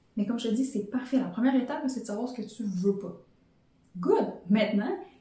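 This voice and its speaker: A woman's fairly high voice with a dark, mellow tone, ordinary pitch variation, a fairly quick pace and audible room echo. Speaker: podcast host and life coach. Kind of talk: motivational podcast monologue.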